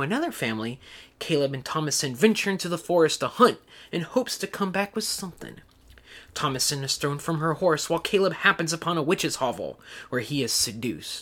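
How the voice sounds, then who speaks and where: This man's high voice has a bright, sharp tone and lively intonation. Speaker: podcast co-host and pop culture scholar. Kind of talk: casual discussion of a film.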